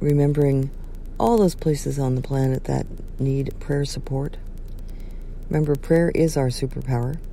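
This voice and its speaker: A woman's very deep, low voice at a moderate pace, fairly even intonation, long, frequent pauses, and audible room echo. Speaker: bishop and wedding officiant. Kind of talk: casual vlog talk with prayer. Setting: outdoors by a river. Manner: hesitant with fillers.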